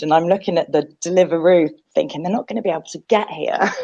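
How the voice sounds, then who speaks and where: In a British accent, a woman of medium pitch talks at a very fast pace. Her pitch varies in an ordinary way. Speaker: mental health podcast co-host. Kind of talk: casual chat.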